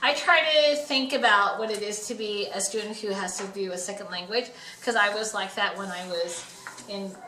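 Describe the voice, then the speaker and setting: With a Western US accent, a woman speaks at medium pitch and a moderate pace amid noticeable background noise and audible room echo. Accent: American, western US. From Nevada, Reno. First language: Chinese. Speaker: middle school teacher. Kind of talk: casual interview.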